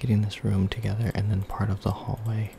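A soft-spoken man talks at a fairly quick pace. Noticeable background noise runs behind him. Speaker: ASMR creator. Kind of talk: relaxing ASMR video game commentary. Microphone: studio mic.

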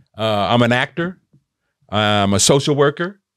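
A very slow pace against a quiet background, with dry sound and no echo. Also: man. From Oakland, California, US West Coast; California. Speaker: theatre maker; podcast guest or co-host. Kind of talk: casual chat. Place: studio. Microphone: studio mic.

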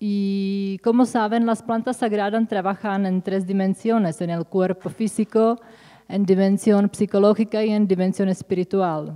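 The background is quiet as a woman speaks in a Czech accent with a dark, mellow tone. Her pace is fairly slow and her intonation fairly even. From Czech Republic. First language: Czech (speaking Spanish). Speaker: psychotherapist; presenter. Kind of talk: conference talk. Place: hall. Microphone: podium.

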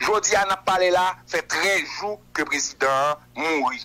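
Speaking in a Haitian accent, a man with a high voice keeps a moderate pace and ordinary pitch variation. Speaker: political commentator. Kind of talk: radio interview.

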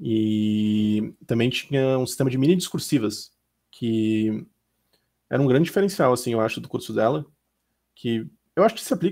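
Against a quiet background, a man with a dark, mellow tone speaks at medium pitch and a moderate pace. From Santa Catarina, southern Brazil (Lages); Santa Catarina, Brazil. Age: 20s. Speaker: diplomat, successful exam candidate; candidate. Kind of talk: interview. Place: home room. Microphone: headset.

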